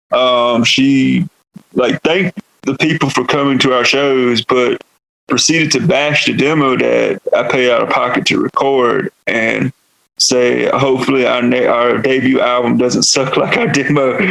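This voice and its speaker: Speaking fairly slowly, a man keeps his loudness very even. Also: dry, close sound with no echo. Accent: Southern US. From US South, North Carolina. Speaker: metal vocalist. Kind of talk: podcast interview. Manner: casual, filler-heavy.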